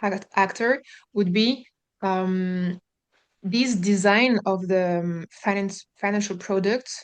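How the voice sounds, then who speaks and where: A woman speaks very slowly with a strong French accent. Her medium pitch holds fairly even intonation over a quiet background. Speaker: housing developer, webinar participant. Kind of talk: question in a webinar. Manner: halting, many fillers.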